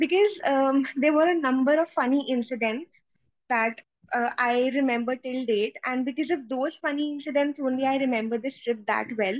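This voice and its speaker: The pace is moderate. Pitch variation is ordinary. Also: woman, high pitch for a woman. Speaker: IELTS test candidate, biotechnology master's student. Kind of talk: interview answer. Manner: fluent, hesitant fillers.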